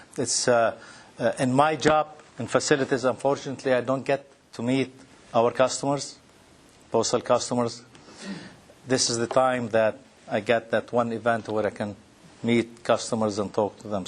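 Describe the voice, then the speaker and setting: Speaking with a Lebanese accent at a moderate pace, the voice keeps a fairly even intonation and leaves long, frequent pauses. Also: man. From Lebanon. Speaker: postal executive, speaker. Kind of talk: conference presentation. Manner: halting.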